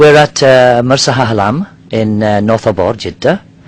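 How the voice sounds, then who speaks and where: Over noticeable background noise, a man talks at a moderate pace. His pitch varies in an ordinary way. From Nigeria. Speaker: diving company worker. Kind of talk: interview. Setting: outdoors on a yacht in a marina. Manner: halting.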